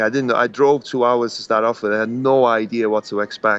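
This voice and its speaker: A man talks at a fairly quick pace with a Welsh accent. His pitch is medium, and his intonation stays fairly even. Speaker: professional wrestler. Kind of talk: interview. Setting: podcast. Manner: halting.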